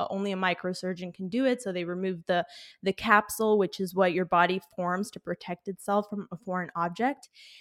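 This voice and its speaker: A woman with an unremarkable speaking voice talks at a fairly quick pace, medium in pitch with fairly even intonation. The sound is dry and close with no echo, and the background is silent in a very clean recording. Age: 20s. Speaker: YouTube creator. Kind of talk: interview. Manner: casual, filler-heavy.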